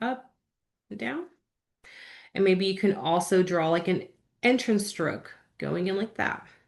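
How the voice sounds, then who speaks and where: A woman speaks at a medium pitch with ordinary pitch variation and vocal fry. Her pace is fairly slow, with long, frequent pauses. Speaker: calligraphy instructor. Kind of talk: live-streamed tutorial. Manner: upbeat, encouraging.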